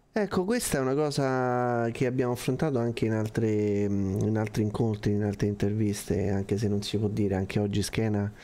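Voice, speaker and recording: A man speaks in a fairly low pitch with a dark, mellow tone. His loudness is very even and his intonation fairly even. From Rome. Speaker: co-host of online meeting for condominium administrators. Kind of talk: casual chat, live stream. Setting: online video stream. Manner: jokey, informal. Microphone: studio mic.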